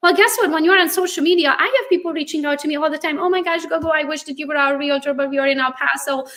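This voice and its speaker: A woman's high, bright, sharp voice, animated and very fast, with hardly any pauses and ordinary pitch variation. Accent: non-native. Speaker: real estate agent, social media influencer. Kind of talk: live interview.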